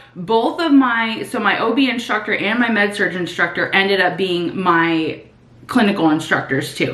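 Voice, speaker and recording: A woman speaks at a moderate pace. The room echo is audible, and background noise is noticeable. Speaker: nursing student and vlogger. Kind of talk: casual chat, get ready with me vlog. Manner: casual, filler-heavy.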